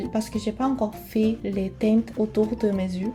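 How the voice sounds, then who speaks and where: Music plays in the background as a woman with a fairly high pitch speaks at a fairly slow pace. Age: 20s. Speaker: beauty vlogger. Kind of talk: casual talk to camera.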